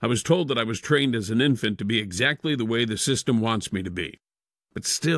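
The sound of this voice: Quiet background, with an unforced reading voice.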